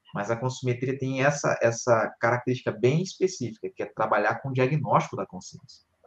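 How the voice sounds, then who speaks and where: A man talks at a fairly quick pace and sounds somewhat breathy. His pitch variation is ordinary, while his loudness swings widely. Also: medium pitch for a man. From Rio de Janeiro, Brazil. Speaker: conscienciology teacher. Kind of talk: live-streamed panel discussion. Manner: hesitant, many fillers.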